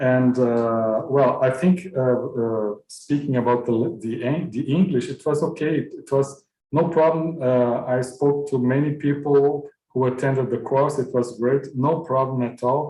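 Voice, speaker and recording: With a Portuguese accent, a man speaks at a medium pitch and a fairly slow pace. His intonation is fairly even, with hardly any pauses. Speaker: university music program host. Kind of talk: closing remarks of online course.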